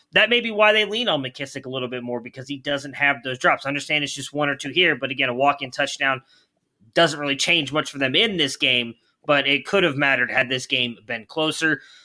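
Fairly quick and fairly high, a man's voice has a bright, sharp tone and ordinary pitch variation. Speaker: podcast host. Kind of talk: casual sports podcast talk. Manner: conversational, leads the show.

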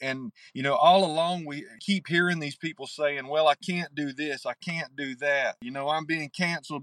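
The speaker talks with an Appalachian accent and ordinary pitch variation. The sound is dry and close, with no echo. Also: man. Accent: Appalachian Southern US. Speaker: novelist. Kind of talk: interview. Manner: halting.

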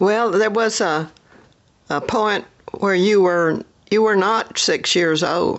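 With fairly even intonation and medium pitch, a woman talks at a very slow pace with long, frequent pauses. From US South, Sand Mountain, Alabama. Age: 90s. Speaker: grandmother, retiree. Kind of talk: oral history interview. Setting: at home with portable recording equipment.

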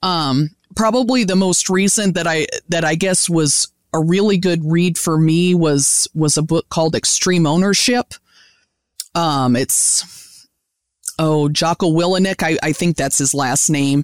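Recorded very clean with a silent background and a dry, close sound with no echo, a woman with an American accent speaks in an unremarkable speaking voice at a fairly slow pace, fairly low in pitch, with ordinary pitch variation and very even loudness. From US Midwest, Indiana. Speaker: beef cattle specialist and professor. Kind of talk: interview, expert explanation.

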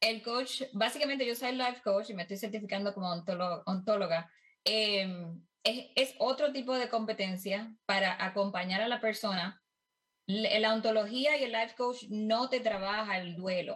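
Speaking at a fairly slow pace, a woman with a Puerto Rican accent has a fairly high-pitched voice. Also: ordinary pitch variation. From Puerto Rico. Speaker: life coach and family caregiver. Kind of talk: interview. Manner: halting, many fillers.

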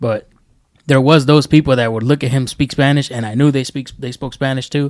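With an American accent, a man speaks in an unremarkable speaking voice at medium pitch with fairly even intonation. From New York. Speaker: podcast co-host. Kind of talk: casual chat.

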